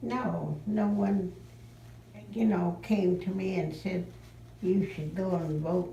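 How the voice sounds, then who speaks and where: Here a woman speaks with an American accent. Her pace is very slow, with ordinary pitch variation. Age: 80s+. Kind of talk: interview answer.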